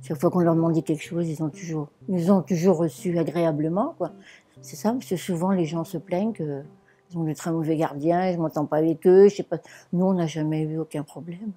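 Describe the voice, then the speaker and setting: A woman's fairly low voice, dark and mellow in tone, with fairly even intonation and a fairly quick pace. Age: 70s. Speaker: elderly social housing tenant. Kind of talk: interview testimony.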